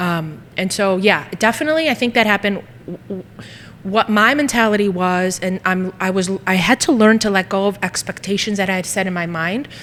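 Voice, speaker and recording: Against noticeable background noise, a woman with a Greek accent talks fairly quickly at a medium pitch with ordinary pitch variation. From US, Greek immigrant family. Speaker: social media marketing business owner. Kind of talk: casual interview chat. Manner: animated.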